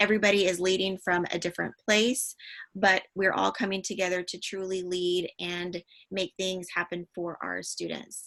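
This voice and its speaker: A woman's medium-pitched, bright, sharp voice at a fairly slow pace, monotone and flat, over a quiet background. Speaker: digital learning consultant. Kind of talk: webinar presentation. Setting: online webinar. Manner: frequent filler words (um).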